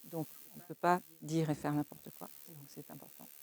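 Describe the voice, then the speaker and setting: A woman's dark, mellow, fairly low-pitched voice at a fairly slow pace, with fairly even intonation and a dry, close sound with no echo. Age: 70s. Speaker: bereavement support volunteer. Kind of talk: interview testimony. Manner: hesitant, many fillers.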